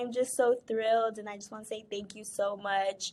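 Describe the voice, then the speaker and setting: She speaks with a Spanish accent. Her pitch is fairly high for a woman. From Spanish-speaking country, moved to US as a child. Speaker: scholarship recipient, nursing student. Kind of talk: thank-you video testimony.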